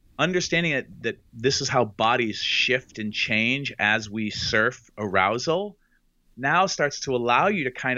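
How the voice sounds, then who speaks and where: Using an ordinary speaking voice, a man talks at a fairly slow pace with medium pitch and lively intonation. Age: 50s. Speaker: sex educator. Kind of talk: interview.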